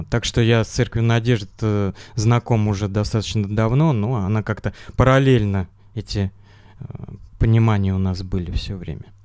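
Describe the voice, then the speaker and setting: Set against a silent background in a very clean recording, the speech runs at a moderate pace with fairly even intonation and long, frequent pauses. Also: man, fairly low pitch for a man. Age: 40s. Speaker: engineer, church member, former rehab patient. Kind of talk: interview. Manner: halting.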